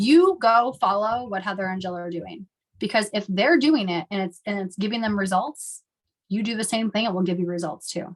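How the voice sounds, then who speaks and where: A woman speaks at a medium pitch with ordinary pitch variation and a somewhat breathy quality. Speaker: network marketing team leader. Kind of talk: team training call talk. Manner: fast.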